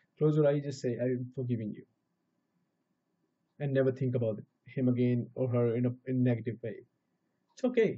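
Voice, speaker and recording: At a very fast pace, a man speaks in a somewhat breathy voice. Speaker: spiritual teacher. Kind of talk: spiritual talk. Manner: casual with hesitations.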